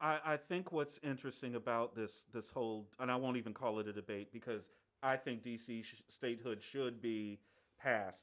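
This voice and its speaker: With an American accent and an unremarkable speaking voice, a man talks at a moderate pace and medium pitch with ordinary pitch variation. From Washington DC area, Prince George's County, Maryland. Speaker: sports podcast host. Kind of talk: casual chat. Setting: live stream.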